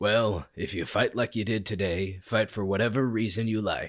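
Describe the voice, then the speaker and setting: A raspy, put-on character voice speaks at a moderate pace with fairly even intonation. The recording is very clean, with a silent background. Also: man. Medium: read story. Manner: commanding, dry.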